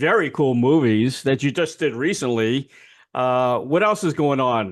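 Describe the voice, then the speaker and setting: A man with a plain, everyday voice speaks fairly slowly with lively intonation against a quiet background. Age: 60s. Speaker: interview host. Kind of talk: interview. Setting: video call. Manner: casual.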